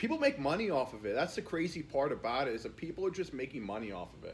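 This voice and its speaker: A man speaks at a very fast pace in a somewhat breathy voice, with very wide pitch swings and big swings in loudness. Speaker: YouTuber. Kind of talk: casual rant to camera. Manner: casual, filler-heavy, repetitive.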